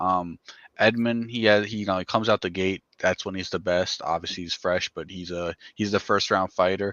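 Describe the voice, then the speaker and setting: With fairly even intonation, a man talks at a fairly quick pace in a very deep, low voice. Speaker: MMA podcast co-host. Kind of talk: casual fight breakdown chat. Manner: stuttering at times.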